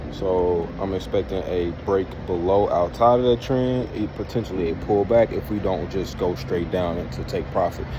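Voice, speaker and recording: A man with a very deep, low pitch talks at a moderate pace with hardly any pauses and ordinary pitch variation. Room echo is audible, and there is noticeable background noise. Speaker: trading video creator. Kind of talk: trading commentary vlog. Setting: outdoors. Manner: casual, hesitant with many fillers; loud and clear.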